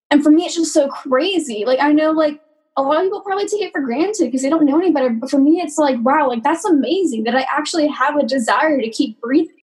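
A woman with an American accent talks very fast at a high pitch, with hardly any pauses. Her pitch varies in an ordinary way. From US South, Georgia. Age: 20s. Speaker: mental health client. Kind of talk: testimony.

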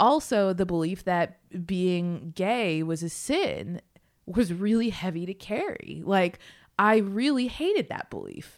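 A woman with an ordinary speaking voice, medium-pitched, fairly slow and lively in intonation, on a very clean recording with a silent background. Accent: American. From Massachusetts. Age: 30s. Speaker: author. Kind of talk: interview.

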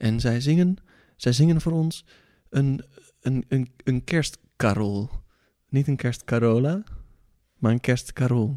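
Slow to a great degree, with long, frequent pauses, a man speaks in a dark, mellow tone with ordinary pitch variation and very even loudness. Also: medium pitch for a man. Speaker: podcast host. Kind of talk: casual chat. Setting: studio. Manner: animated.

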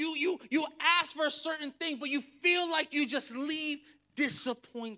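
Here a man speaks in an animated, raised and projected voice, extremely high in pitch with a bright, sharp tone and ordinary pitch variation. He goes at a fairly slow pace on a very clean recording with a silent background. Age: 30s. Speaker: pastor. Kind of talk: sermon.

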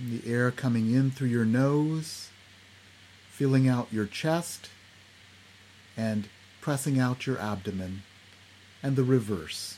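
A man with a medium pitch and a calm, soothing tone speaks at a very slow pace, with ordinary pitch variation and long, frequent pauses. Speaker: psychiatrist and meditation teacher. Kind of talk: guided meditation. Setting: video call. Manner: slow, calm, soothing; gentle, instructive, with pauses.

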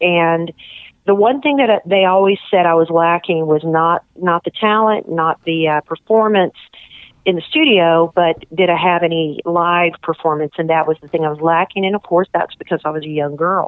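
A woman speaks in an ordinary speaking voice, pitched fairly low. Her pitch varies in an ordinary way at a moderate pace. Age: 50s. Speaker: TV show producer and singer. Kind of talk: radio interview. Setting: radio studio.

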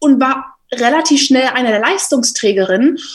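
Her pitch high, a woman talks at a moderate pace. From Germany, Berlin. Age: 20s. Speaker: rugby player and journalist. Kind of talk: casual interview. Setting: home office.

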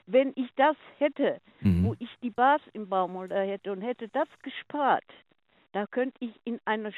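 A woman with a plain, everyday voice, fairly high pitch and fairly slow pace. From Ruhr area, Germany (Oberhausen). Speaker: caller. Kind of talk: casual chat. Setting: phone call.

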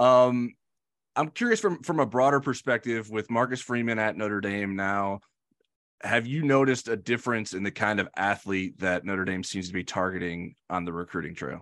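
The delivery comes in an unremarkable speaking voice, moderate in pace and ordinary in pitch variation. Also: man, fairly low pitch for a man. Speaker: podcast host. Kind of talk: interview and podcast discussion.

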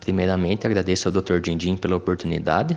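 A man's very deep, low pitch holds to fairly even intonation. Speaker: agronomist, business partner, sponsor. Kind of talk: scripted sponsor message.

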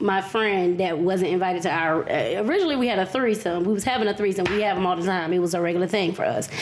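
Over noticeable background noise, a woman with an American accent talks at a very fast pace with hardly any pauses, her loudness very even and her medium pitch showing ordinary variation. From US South, Raleigh, North Carolina. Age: 30s. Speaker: podcast guest. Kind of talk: casual chat.

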